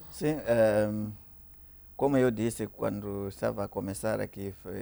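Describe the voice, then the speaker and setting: A man with a Mozambican accent speaks at a fairly slow pace, his dark, mellow voice set fairly low and moving with ordinary pitch variation. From Mozambique. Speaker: pastor. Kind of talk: panel discussion. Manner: halting.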